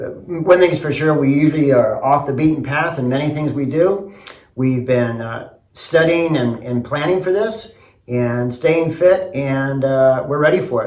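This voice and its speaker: A man speaks with an American accent in a fairly high register, at a moderate pace. His pitch varies in an ordinary way, and the room echo is audible. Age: 60s. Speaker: construction company owner. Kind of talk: audition video.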